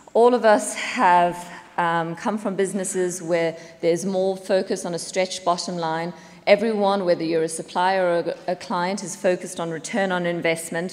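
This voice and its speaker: A woman speaks with a South African accent and fairly even intonation. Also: medium pitch for a woman, moderate pace. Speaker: business executive. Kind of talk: conference talk. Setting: stage with audience.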